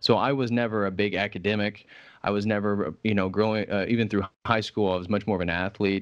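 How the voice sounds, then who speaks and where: Over a quiet background, a man with a Midwestern American accent speaks very fast in a fairly low, monotone, flat voice. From US Midwest, Indiana. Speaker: religious scholar and YouTuber. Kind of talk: casual interview conversation.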